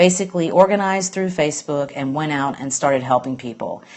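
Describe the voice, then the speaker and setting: A woman with an Alabama accent talks in a very deep, low voice with fairly even intonation. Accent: Southern US (Alabama). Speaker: green business blogger. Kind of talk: casual live-stream monologue. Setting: live stream from home, late at night. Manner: hesitant, lots of fillers.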